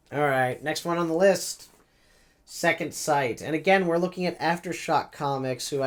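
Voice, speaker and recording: A man at a moderate pace, his intonation fairly even, amid noticeable background noise. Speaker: comic book reviewer vlogger. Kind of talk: casual review vlog. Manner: hesitant, many fillers.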